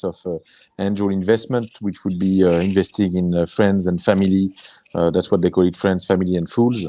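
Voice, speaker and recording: In a French accent, a man talks. The tone of his voice is dark and mellow. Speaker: angel investor and entrepreneur. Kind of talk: webinar panel discussion. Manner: halting, many fillers.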